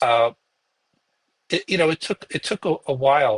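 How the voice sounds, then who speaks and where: A man's fairly high, lively voice with a Brooklyn accent at a moderate pace, in a dry, close recording with no echo. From Brooklyn, New York. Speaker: podcast host, guest expert. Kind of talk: interview conversation. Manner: halting, many fillers.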